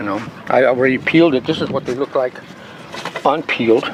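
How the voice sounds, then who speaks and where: A man's fairly quick, fairly evenly intoned speech over noticeable background noise. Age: 60s. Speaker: martial arts grandmaster. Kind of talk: casual interview talk. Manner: halting, repetitive.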